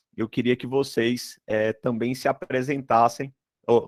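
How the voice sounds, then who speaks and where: Recorded dry and close with no echo, a man talks with a Ceará accent. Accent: northeastern Brazilian (Ceará), noticeable. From Brazil, Ceará (but moved around a lot). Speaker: dental materials professor. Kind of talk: online lecture. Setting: video call live stream. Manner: hesitant, many fillers.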